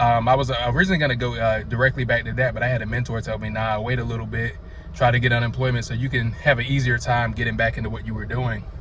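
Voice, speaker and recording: Someone with a North Carolina accent talks at a very fast pace over noticeable background noise, with audible room echo. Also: man. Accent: Southern (North Carolina). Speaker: vlogger. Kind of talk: casual vlog monologue. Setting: outdoors, sunny day.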